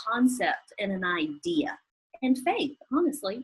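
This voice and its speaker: A woman with a strong Southern US accent speaks at a very slow pace. Her pitch is high and her intonation lively. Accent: strong Southern US drawl. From US South. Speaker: chef and business owner. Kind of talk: interview.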